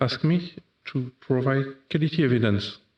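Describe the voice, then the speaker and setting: Using ordinary pitch variation, a man speaks with a French accent. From France. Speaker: software developer. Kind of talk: conference talk. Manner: halting, many fillers.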